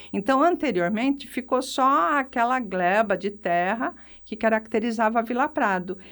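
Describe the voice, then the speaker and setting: A woman's unremarkable speaking voice, fairly high-pitched with lively intonation at a moderate pace, on a very clean recording with a silent background. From Brazil, São Carlos (São Paulo state). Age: 60s. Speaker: retired physiotherapist and local historian. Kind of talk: radio interview.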